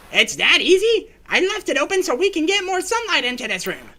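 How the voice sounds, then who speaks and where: A man's put-on character voice, extremely high in pitch and fairly quick in pace. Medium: game stream. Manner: theatrical, scheming.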